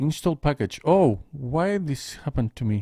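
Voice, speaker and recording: A non-native accent comes through on a very clean recording with a silent background. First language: not English. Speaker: programming tutor. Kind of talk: screen-recorded coding tutorial. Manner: halting, thinking aloud.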